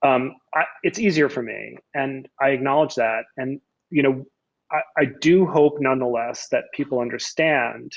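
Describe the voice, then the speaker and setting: At a fairly slow pace, a man speaks with a fairly high pitch and fairly even intonation. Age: middle-aged. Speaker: law professor. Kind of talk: casual discussion. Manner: halting, many repetitions.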